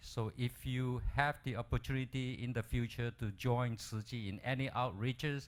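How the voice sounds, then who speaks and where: Here is a man with a medium pitch in a plain, everyday voice. He speaks at a moderate pace on a very clean recording with a silent background. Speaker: dentist doing medical missions. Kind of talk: lecture.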